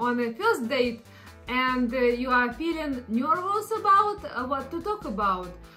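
With a non-native accent, a woman projects a raised, high-pitched voice at a very slow pace, her pitch swinging very widely while faint music plays in the background. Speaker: content creator. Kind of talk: casual explainer talk to camera. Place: home room.

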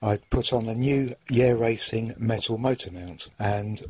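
Somewhat breathy, this man talks at a medium pitch with fairly even intonation. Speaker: RC car hobbyist. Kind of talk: casual video narration.

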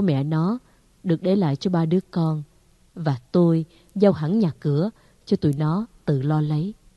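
A woman's fairly low voice in an ordinary speaking voice, at a fairly slow pace with ordinary pitch variation, the sound dry and close with no echo. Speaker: audiobook narrator. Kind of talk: literary audiobook reading of a short story, first-person nostalgic narration. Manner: slow, warm, wistful and formal, with soft expressive pacing.

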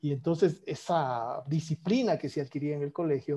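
Against a quiet background, a man talks in a dark, mellow tone that is somewhat breathy, with ordinary pitch variation. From Ecuador, Quito; Ecuador. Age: 50s. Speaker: economist and former economy minister; former economy minister. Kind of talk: political interview conversation. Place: home room. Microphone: earbuds.

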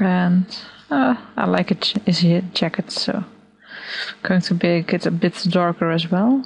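A woman's fairly low voice with a non-native accent, at a fairly slow pace, with ordinary pitch variation and long, frequent pauses. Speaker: digital artist. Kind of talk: software tutorial narration. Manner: hesitant, casual.

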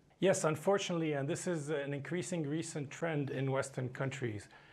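A man speaks at a moderate pace in a somewhat breathy voice with fairly even intonation. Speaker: remote guest. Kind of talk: interview answer. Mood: calm, critical. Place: studio. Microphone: lapel.

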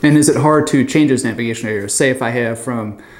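Over audible room echo, a man talks fast at a medium pitch with ordinary pitch variation.

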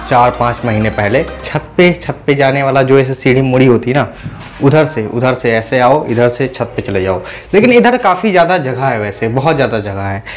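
A man talks at a fairly slow pace with ordinary pitch variation while faint music plays in the background. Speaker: student vlogger. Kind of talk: casual vlog chat. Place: home room. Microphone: lapel.

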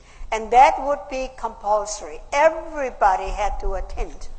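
A woman speaks with an Austrian accent. Her pace is fairly slow and her pitch swings very widely. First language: German. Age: 80s+. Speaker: WW2 survivor. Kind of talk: conference speech. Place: hall. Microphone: podium.

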